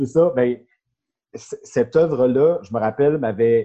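At a fairly slow pace, a man speaks with a medium pitch and a dark, mellow tone. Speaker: insurance broker. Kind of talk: casual chat.

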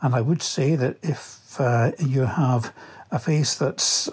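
Music plays in the background as a man with a Scottish accent and fairly high pitch speaks with ordinary pitch variation. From Scotland, Livingston. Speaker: listener sending a product review. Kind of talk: recorded product review.

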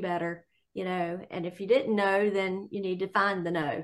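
A woman talks at a moderate pace in a normal speaking voice. Her pitch is medium. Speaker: Bible study participant. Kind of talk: group Bible study discussion. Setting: video call.

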